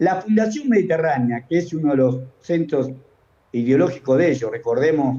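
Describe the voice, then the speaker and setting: His voice sits fairly high with a dark, mellow tone. The man's loudness stays very even. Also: moderate pace. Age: 70s. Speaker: economist. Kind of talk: interview. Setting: remote call. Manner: animated.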